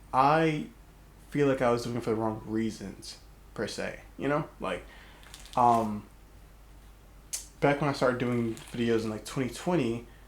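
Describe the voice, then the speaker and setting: There are long, frequent pauses in this man's medium-pitched speech. The room echo is audible. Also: ordinary pitch variation. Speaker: YouTuber. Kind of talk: casual vlog monologue. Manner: fast.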